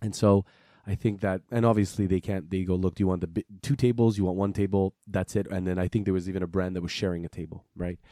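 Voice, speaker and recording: A man with a Quebec accent talks at a very fast pace in a very deep, low pitch and a dark, mellow tone. His intonation is fairly even, and the sound is dry and close with no echo. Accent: Quebec French-Canadian. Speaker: watch podcast co-host. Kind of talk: casual chat.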